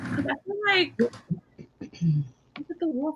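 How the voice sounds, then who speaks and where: This voice is raised and projected. It belongs to a woman. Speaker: book club co-host. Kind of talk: casual chat. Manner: loud.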